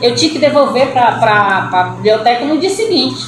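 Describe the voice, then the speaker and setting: A woman with a Cearense accent speaks at a fairly high pitch and moderate pace, with noticeable background noise and audible room echo. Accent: Cearense Brazilian Portuguese. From Brazil, Ceará (Fortaleza). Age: 60s. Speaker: writer. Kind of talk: interview.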